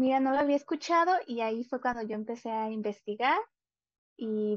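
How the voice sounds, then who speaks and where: A woman at a moderate pace with ordinary pitch variation, dry with no echo, over a quiet background. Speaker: guest. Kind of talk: interview answer. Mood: friendly, smiling. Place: home room.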